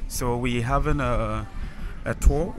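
A man is speaking. Music plays clearly behind him. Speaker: travel vlogger. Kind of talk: casual vlog chat. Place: street. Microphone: phone near.

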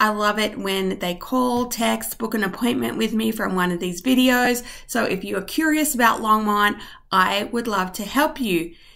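A woman's bright, sharp-toned voice against a quiet background. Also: ordinary pitch variation, moderate pace. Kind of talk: tutorial. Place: home room. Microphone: webcam.

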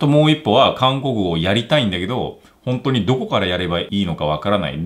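This man speaks at a fairly quick pace. His pitch swings very widely. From South Korea. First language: Korean (speaking Japanese). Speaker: language teacher YouTuber. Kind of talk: tutorial. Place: home room.

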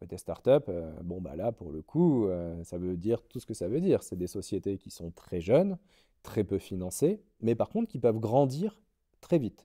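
Against a quiet background, a man with a dark, mellow tone and fairly low pitch speaks at a fairly slow pace, with very wide pitch swings and big swings in loudness. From France, Lorraine (Nancy); Lorraine, France. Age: 30s. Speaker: finance director; interview guest. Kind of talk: interview. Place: hall.

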